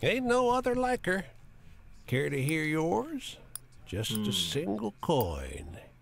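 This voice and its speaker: Man's put-on character voice, fairly high in pitch, at a fairly slow pace with long, frequent pauses. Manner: proud.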